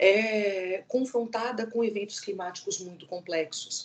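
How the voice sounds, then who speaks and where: A woman with a São Paulo accent speaks in a fairly high voice with ordinary pitch variation. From São Paulo, Brazil. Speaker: law professor. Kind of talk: academic lecture. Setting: video call. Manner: halting, with false starts.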